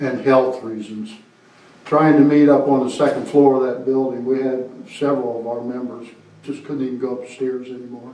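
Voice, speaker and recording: In a Maine accent, a man speaks at a moderate pace and medium pitch with monotone, flat intonation and big swings in loudness, heard with audible room echo. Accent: Maine (New England). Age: 70s. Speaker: veterans' organization representative. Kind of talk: town council meeting. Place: meeting room.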